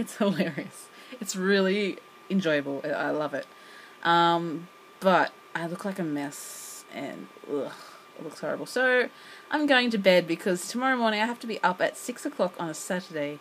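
Lively intonation marks this woman's moderate pace. Light background noise is present. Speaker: English teacher vlogger. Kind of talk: casual vlog chat. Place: home room. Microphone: phone near.

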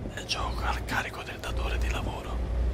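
A relaxed tone at a moderate pace, with noticeable background noise. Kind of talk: ASMR gameplay commentary. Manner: whispered; soft-spoken, relaxed.

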